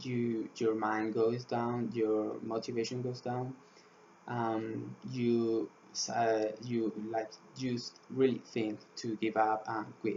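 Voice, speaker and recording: A man's very slow, flat monotone with a Spanish accent. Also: medium pitch for a man. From Spain. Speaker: student swimmer. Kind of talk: class presentation. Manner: halting, many fillers.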